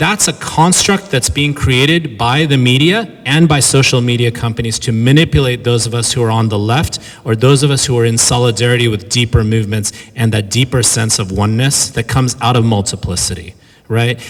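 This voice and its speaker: A man with a Californian accent, medium in pitch, ordinary in pitch variation and fairly quick in pace. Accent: Californian American. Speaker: professor giving a lecture. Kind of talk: lecture. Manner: fast; animated.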